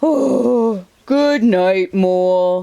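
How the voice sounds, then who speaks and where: Put-on character voice, pitched fairly high. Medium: read story. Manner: slow, sleepy, gentle.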